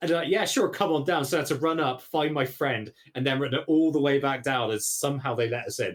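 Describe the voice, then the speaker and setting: Speaking very fast with hardly any pauses, a man with a Bristolian accent uses ordinary pitch variation. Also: fairly high pitch for a man. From England, Bristol. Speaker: podcast guest, stream host. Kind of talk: casual chat.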